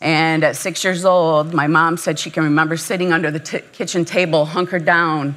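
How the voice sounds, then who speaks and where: Fairly low-pitched woman with an American accent, flat monotone intonation, a fairly quick pace, hardly any pauses, and audible room echo. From Michigan, US. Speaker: nurse anesthetist and missions speaker. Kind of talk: conference talk with personal testimony. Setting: conference breakout session with live audience.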